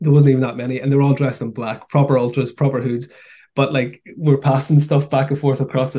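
A man speaks at a very fast pace in a monotone, flat intonation and a fairly high pitch. His tone is dark, mellow and somewhat breathy. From Newry, Northern Ireland. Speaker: documentary producer. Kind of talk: interview.

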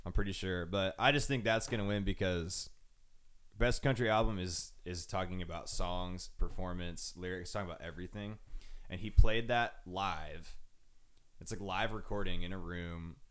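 Speaking with an American accent, a man with a very deep, low voice shifts greatly in loudness. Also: ordinary pitch variation, moderate pace. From Arizona, Phoenix area. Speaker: music podcast host. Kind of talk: casual chat. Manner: animated.

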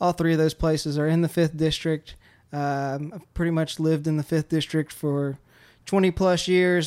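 A man with a Louisiana accent speaks at a moderate pace in a fairly high, monotone, flat voice. The recording is very clean, with a silent background. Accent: Louisiana Southern. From central Louisiana. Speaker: podcast host. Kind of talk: interview. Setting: barbershop. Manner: halting.

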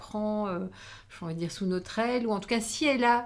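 Here is a woman with an unremarkable speaking voice at a moderate pace. Her pitch is medium, with ordinary pitch variation. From Belgium, Wallonia (between Charleroi and Namur). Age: 50s. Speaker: former magazine editor and women's network founder. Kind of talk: interview conversation.

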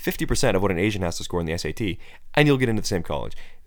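A man with an American accent, very wide pitch swings and a very fast pace. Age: 20s. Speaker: political podcast host. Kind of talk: solo political commentary.

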